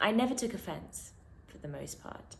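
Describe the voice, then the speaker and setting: Audible room echo surrounds a woman's voice. She talks at a moderate pace with lively intonation. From London, England. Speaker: poet. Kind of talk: spoken word poetry.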